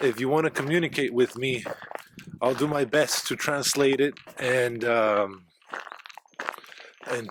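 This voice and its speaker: The speech is fairly slow, with ordinary pitch variation. Noticeable background noise runs underneath. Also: man. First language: Spanish. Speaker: travel vlogger. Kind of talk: casual vlog talk to camera. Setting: outdoors on a trail. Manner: halting, with fillers and restarts.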